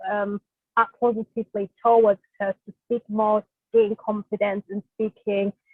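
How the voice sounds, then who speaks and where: Speaking with a German accent, a woman is heard here. She keeps a moderate pace. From Germany. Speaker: social worker. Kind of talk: webinar presentation. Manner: hesitant, many fillers.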